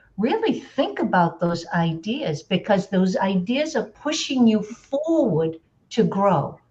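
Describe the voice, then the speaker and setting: A somewhat breathy woman's voice at a medium pitch and a very slow pace. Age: 60s. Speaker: life coach. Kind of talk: group coaching discussion.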